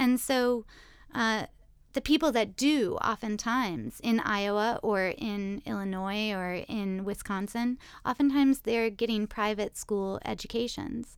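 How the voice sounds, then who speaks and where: On a very clean recording with a silent background, a woman with an American accent talks at a fairly slow pace in a normal speaking voice with ordinary pitch variation. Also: fairly high pitch for a woman. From US South, Richmond, Virginia. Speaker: classics professor. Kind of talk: interview conversation.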